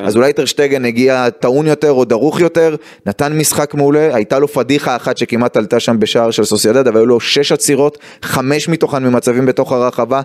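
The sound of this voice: With few pauses and ordinary pitch variation, a man talks in a medium-pitched voice that has a slightly mellow tone.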